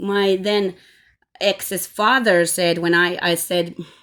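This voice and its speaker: On a very clean recording with a silent background, a woman speaks at a very slow pace in a bright, sharp tone. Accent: Finnish. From Finland. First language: Finnish. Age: 40s. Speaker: vlogger. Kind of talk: personal testimony. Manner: halting.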